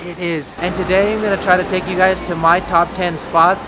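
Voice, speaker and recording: A man talks at a moderate pace in a high pitch while noticeable background noise carries on behind him. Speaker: food vlogger. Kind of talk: casual vlog chat. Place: street. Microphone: phone near.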